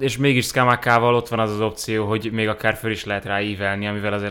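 The recording is very clean with a silent background, and a man of medium pitch talks at a fairly quick pace. His tone is bright and sharp, his intonation flat and monotone. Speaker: editor and football podcast guest. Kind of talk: casual chat about football.

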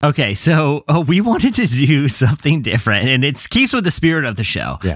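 The recording is very clean, with a silent background. A man with a fairly high pitch and vocal fry talks at a moderate pace. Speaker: podcast host. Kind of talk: casual chat.

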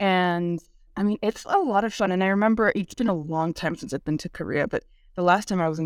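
A woman with a fairly low voice and ordinary pitch variation, recorded dry and close with no echo on a very clean track with a silent background. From California Bay Area, Korean-American family. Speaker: literature professor and author. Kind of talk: interview. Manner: casual, filler-heavy.

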